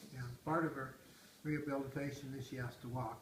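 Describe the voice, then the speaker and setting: A man at medium pitch in a monotone, flat intonation and moderate pace, with audible room echo and noticeable background noise. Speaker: retired grandfather interviewed by family. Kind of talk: casual family interview.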